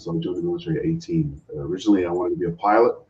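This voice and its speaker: A somewhat breathy male voice with a dark, mellow tone. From England, moved to Canada as teen. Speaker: retired navy officer. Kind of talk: interview.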